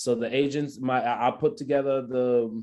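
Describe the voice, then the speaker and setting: A man speaks with a West African accent at a medium pitch, his tone dark and mellow. The background is quiet. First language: not English. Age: 20s. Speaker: photographer. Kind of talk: talk with Q&A. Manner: fast.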